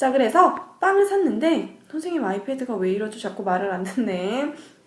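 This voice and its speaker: A woman's high voice with very wide pitch swings at a moderate pace, amid audible room echo and noticeable background noise. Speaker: middle school math teacher. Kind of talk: lecture. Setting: cram school lesson recording.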